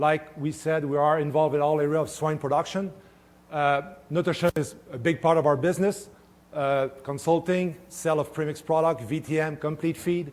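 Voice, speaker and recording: With a French-Canadian accent, a man speaks at a fairly high pitch using fairly even intonation. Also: moderate pace. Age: 50s. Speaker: swine nutritionist. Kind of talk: conference talk. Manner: halting, many fillers.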